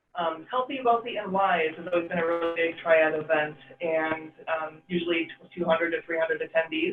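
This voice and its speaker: A man's high, fairly even voice over music in the background. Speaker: township supervisor chairing board meeting. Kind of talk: public meeting report. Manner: fast; hesitant, many fillers.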